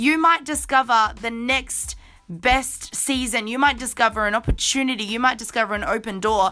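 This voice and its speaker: A woman's fairly high, animated voice at a moderate pace, with ordinary pitch variation and music in the background. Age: 20s. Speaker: podcast host. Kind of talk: motivational monologue.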